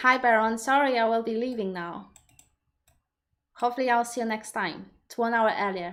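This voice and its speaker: A woman speaks at fairly high pitch with a Polish accent, at a moderate pace with fairly even intonation. Her loudness swings widely, and long pauses come often. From Poland. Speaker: personal development coach. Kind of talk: live stream Q&A. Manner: halting, many repetitions.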